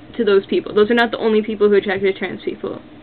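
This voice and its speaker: A woman speaks at a fairly high pitch with ordinary pitch variation. Noticeable background noise runs behind her. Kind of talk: casual talk to camera. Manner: hesitant, many fillers.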